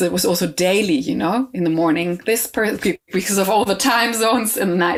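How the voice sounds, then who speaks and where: Moderate pacing from a woman at a medium pitch, her pitch varying in an ordinary way. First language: not English. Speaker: composer and choir director. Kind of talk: interview conversation. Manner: halting, many fillers and restarts.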